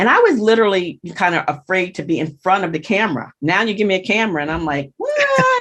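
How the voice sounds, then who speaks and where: A woman talks very fast at a medium pitch, with ordinary pitch variation and hardly any pauses. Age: 60s. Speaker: blogger and social media consultant. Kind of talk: interview chat.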